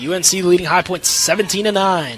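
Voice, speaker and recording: A man's high pitch and energetic tone, with ordinary pitch variation and crowd noise in the background. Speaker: sports broadcaster / student sports media major. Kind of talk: live TV lacrosse play-by-play. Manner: fast, energetic.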